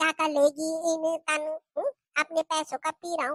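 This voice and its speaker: A woman uses a put-on character voice at an extremely high pitch, flat and monotone. Her moderate pace comes through with a dry, close sound with no echo. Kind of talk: comic overacting. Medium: comedy sketch. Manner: boastful, slurring, belligerent.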